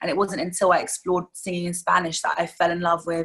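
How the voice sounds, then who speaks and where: The speaker has a London accent and a monotone, flat intonation. The pace is fairly quick. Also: woman. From London, England. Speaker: singer-songwriter. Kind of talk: interview.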